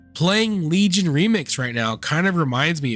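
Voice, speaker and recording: Music plays in the background as a man talks. He keeps a moderate pace with lively intonation. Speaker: legally blind gamer. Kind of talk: gaming video essay to camera.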